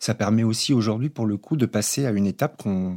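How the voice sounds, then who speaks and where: This man has a fairly low pitch, a dark, mellow tone and ordinary pitch variation at a fairly quick pace. The sound is dry and close with no echo, in a very clean recording with a silent background. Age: 50s. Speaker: socio-anthropologist. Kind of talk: panel discussion. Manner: halting.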